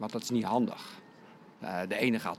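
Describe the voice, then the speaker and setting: This man has a plain, everyday voice, pitched at a medium level. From Netherlands, Lek region (South Holland). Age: 60s. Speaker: skating coach. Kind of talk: interview.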